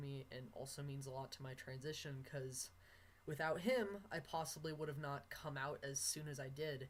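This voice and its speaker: A man's somewhat breathy, fairly high voice at a moderate pace, with fairly even intonation. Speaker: vlogger documenting gender transition.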